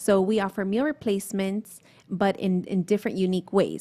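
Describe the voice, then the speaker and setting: In a Miami accent, the speaker has a dark, mellow tone and monotone, flat intonation at a moderate pace. The recording is very clean, with a silent background. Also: woman. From Miami, Florida. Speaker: small business owner. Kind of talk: casual interview. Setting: restaurant with diners around.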